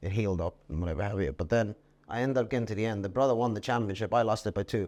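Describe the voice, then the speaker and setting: This man has an Irish accent and a fairly low pitch. He talks very fast, with ordinary pitch variation. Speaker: jockey. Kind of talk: podcast interview answer. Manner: casual, anecdotal.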